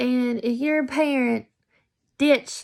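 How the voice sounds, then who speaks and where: On a very clean recording with a silent background, a woman with an American accent speaks at a very slow pace. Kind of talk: casual vlog monologue. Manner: loud; hesitant, many fillers.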